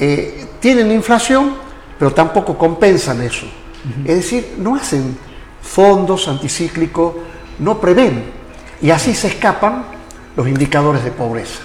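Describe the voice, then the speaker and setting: Over noticeable background noise, a man with a high pitch speaks at a fairly slow pace, his pitch swinging very widely. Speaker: talk show host. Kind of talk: interview.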